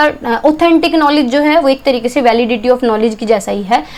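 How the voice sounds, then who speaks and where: Noticeable background noise accompanies a woman whose high-pitched voice has lively intonation. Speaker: teacher. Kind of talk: lecture. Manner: fast.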